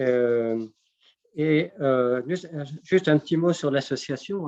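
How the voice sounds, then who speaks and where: A man talks very slowly. His voice sits fairly high. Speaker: association secretary, interviewer. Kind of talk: interview questions.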